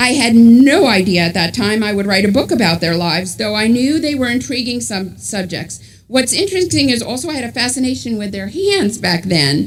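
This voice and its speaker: Talking at a fairly quick pace with hardly any pauses, a woman with a New York accent has a fairly high, somewhat breathy voice and very wide pitch swings, and there is audible room echo. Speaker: author and journalist. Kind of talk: book talk to a congregation.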